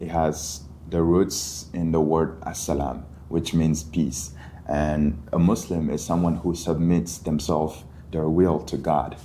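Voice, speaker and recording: A man with a very deep, low pitch, monotone, flat intonation and a fairly slow pace, in audible room echo. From Mali, West Africa. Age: 20s. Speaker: college student. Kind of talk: podcast interview.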